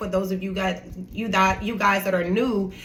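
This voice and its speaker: Her tone is bright and sharp. The woman's voice carries audible room echo. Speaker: lifestyle and inspirational vlogger. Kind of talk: motivational talk. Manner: animated.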